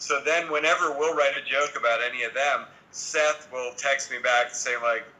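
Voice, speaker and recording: A man talks with fairly even intonation, and noticeable background noise can be heard. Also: moderate pace. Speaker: TV comedy writer and showrunner. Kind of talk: interview. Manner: deadpan; casual, lots of fillers.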